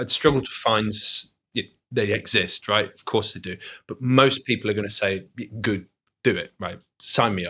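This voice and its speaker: A man with a Mancunian accent speaks at a moderate pace and a fairly low pitch, in a bright, sharp tone with fairly even intonation. He leaves long, frequent pauses, his loudness swings widely, and the recording is very clean with a silent background. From Manchester, England. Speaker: podcast co-host. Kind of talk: casual chat. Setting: in a home kitchen.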